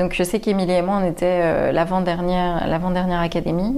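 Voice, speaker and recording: With audible room echo and noticeable background noise, a woman's speech moves along fairly quickly. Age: 30s. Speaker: comedian. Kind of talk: casual interview chat.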